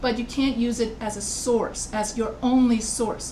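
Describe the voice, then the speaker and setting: Amid audible room echo and noticeable background noise, a woman with a fairly high pitch speaks at a moderate pace. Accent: American. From United States. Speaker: college writing instructor. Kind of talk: lecture. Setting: video call.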